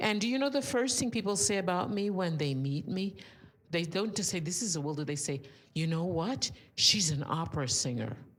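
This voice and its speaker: In a room with audible echo, a woman speaks at a fairly quick pace with a fairly low pitch that swings very widely. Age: 80s+. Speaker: audience member. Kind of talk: audience comment at a talk.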